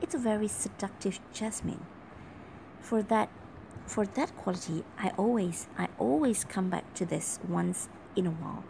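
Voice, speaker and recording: Light background noise sits behind a woman of medium pitch speaking at a moderate pace with ordinary pitch variation. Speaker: perfume reviewer. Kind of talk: casual talk to camera. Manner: whispered. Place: home room. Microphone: phone near.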